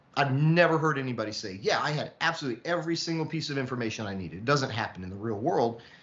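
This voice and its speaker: In a room with audible echo, a man's voice swings very widely in pitch. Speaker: lecturer on artificial intelligence. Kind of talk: lecture. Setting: online session. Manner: fast.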